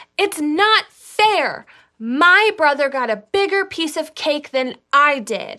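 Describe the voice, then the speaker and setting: This put-on character voice sounds whiny, with very wide pitch swings at a fairly slow pace. The recording is very clean, with a silent background. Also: woman, extremely high pitch for a woman. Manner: complaining.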